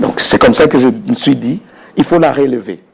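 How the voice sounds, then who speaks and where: Noticeable background noise accompanies a man speaking in a Congolese accent. His fairly high pitch moves in very wide swings. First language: Lingala (speaking French). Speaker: dictionary author and researcher. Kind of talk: interview. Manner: halting.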